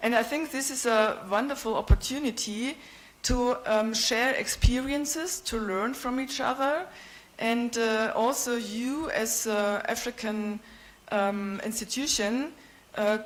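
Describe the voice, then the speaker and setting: Spoken in a German accent at a fairly slow pace, the voice shows ordinary pitch variation, with audible room echo. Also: woman, fairly high pitch for a woman. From Germany, Bavaria. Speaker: visiting professor. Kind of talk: conference presentation. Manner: hesitant, many fillers.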